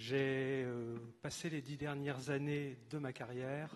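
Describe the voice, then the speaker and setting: Very slow delivery in a flat monotone. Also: man. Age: 60s. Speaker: retired finance official, council candidate. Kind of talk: campaign speech.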